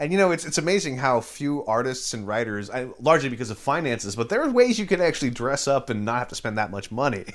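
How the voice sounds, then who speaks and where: A man with an American accent talks at a very fast pace, with hardly any pauses and lively intonation. His pitch sits in the medium range, and there is noticeable background noise. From Northern California, Bay Area. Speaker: podcast host and interviewer. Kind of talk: scripted introduction; casual interview. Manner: halting at times.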